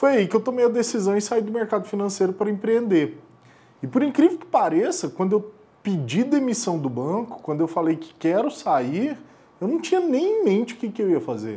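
A man's high-pitched voice with a dark, mellow tone and very wide pitch swings. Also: moderate pace. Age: 30s. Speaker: investment firm founder. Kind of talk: interview.

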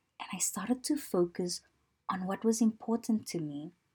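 The voice is somewhat breathy with a dark, mellow tone, lively intonation and a fairly slow pace. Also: woman. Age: 30s. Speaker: lifestyle podcast host. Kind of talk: personal monologue podcast.

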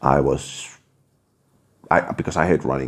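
A man's voice with vocal fry. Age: 30s. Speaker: podcast host. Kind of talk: personal monologue. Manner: halting, many restarts.

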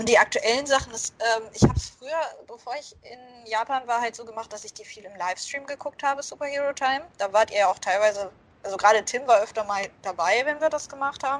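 Her voice fairly high, a woman talks very fast with ordinary pitch variation. Her loudness swings widely. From Germany. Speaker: podcast co-host. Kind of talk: casual chat.

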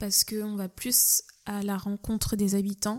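A very slow, dark, mellow delivery on a very clean recording with a silent background. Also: woman. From France, Nantes. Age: young. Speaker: cook. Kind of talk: casual interview. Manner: hesitant, many fillers.

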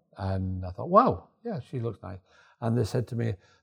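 A somewhat breathy voice at a moderate pace with ordinary pitch variation, in a very clean recording over a silent background. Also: man. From northern England, Yorkshire. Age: 70s. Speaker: storyteller, retired salesman and former model. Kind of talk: casual interview, storytelling. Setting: cafe.

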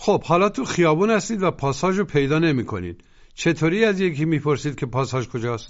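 This man talks at a very fast pace in a fairly high voice. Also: lively intonation. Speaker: language course narrator. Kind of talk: scripted language lesson instruction.

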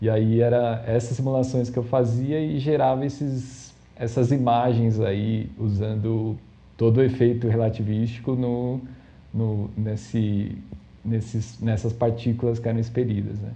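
A man speaks at a fairly slow pace in a dark, mellow tone, somewhat breathy. His intonation is fairly even, and the room echo is audible. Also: medium pitch for a man. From Brazil, São Paulo city. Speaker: data scientist. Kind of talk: casual interview. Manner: hesitant, many fillers.

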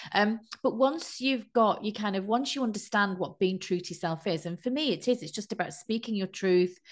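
A normal speaking voice at a fairly quick pace, with hardly any pauses, ordinary pitch variation and a quiet background. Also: woman, medium pitch for a woman. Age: 50s. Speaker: life coach and meditation teacher. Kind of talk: casual interview.

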